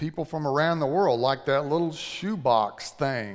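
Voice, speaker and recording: Lively intonation comes through against a quiet background. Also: man. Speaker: preacher. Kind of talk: sermon. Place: church.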